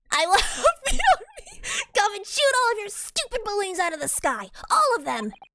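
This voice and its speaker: Someone performs a put-on character voice at an extremely high pitch. The pace stays moderate. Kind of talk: live game playthrough with character voice reading. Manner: indignant, imperious.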